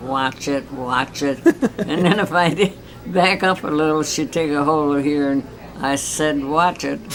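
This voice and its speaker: Against noticeable background noise, a woman speaks with an American accent at a very deep, low pitch. Her pace is fairly slow, with ordinary pitch variation. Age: 80s+. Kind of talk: interview answer.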